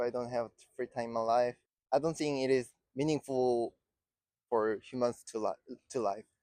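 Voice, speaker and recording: With a Korean accent, a man speaks in a dark, mellow tone with fairly even intonation and long, frequent pauses. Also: medium pitch for a man, moderate pace. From South Korea. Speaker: street interview respondent. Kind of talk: street interview. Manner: halting.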